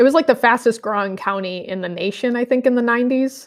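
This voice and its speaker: A woman's fairly high, plain, everyday voice with an American accent, at a fairly quick pace against a quiet background. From US Midwest (Michigan, then St. Louis area). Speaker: high school Bible teacher. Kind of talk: casual interview.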